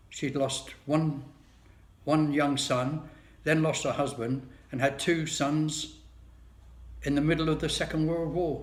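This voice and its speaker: Audible room echo surrounds a man's fairly high, somewhat breathy voice, flat and monotone in intonation, with long, frequent pauses. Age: 70s. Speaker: video blogger. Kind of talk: personal monologue. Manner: casual, wry.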